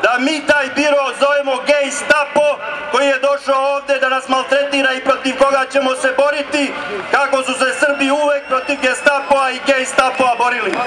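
In a Serbian accent, a man with an extremely high pitch speaks in a raised, projected voice at a moderate pace, his intonation monotone and flat, over noticeable background noise. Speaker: rally speaker, right-wing movement leader. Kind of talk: rally speech, fiery nationalist oratory to a crowd. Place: street.

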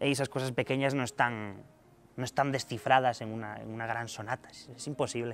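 Light background noise sits under the recording. A man talks in a monotone, flat intonation. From Asturias, northern Spain. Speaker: concert pianist. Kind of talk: interview. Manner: halting, many repetitions and fillers. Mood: relaxed, thoughtful, friendly. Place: stage.

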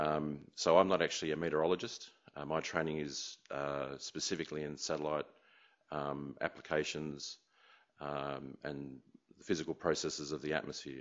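A man with an Australian accent talks at a moderate pace with a very deep, low pitch and flat, monotone intonation. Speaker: meteorologist, remote sensing scientist. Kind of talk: lecture. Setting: conference room with audience. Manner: halting, many fillers.

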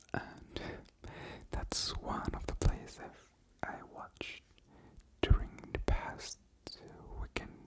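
A woman whispers at a very slow pace with long, frequent pauses. Her loudness swings widely. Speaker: ASMR creator. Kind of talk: ASMR whispered ramble. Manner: whispered, soft. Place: home room. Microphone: studio mic.

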